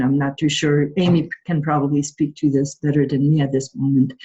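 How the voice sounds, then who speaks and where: A woman with a Quebec accent and a very deep, low pitch. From Quebec, Montreal. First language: French. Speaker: patient partner advisor. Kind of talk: panel introduction.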